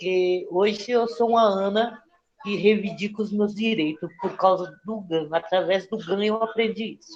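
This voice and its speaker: A woman speaks at a fairly slow pace with fairly even intonation and big swings in loudness. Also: medium pitch for a woman. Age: 60s. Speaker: mental health service user sharing experience. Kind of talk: testimony. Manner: halting, many fillers.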